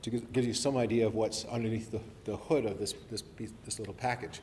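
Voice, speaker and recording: With an audible room echo, a man talks at a fairly quick pace with fairly even intonation. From New Zealand, born Invercargill, left age seven, grew up abroad. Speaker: professor. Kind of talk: public lecture. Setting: evening talk to an audience. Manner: hesitant, many fillers and restarts.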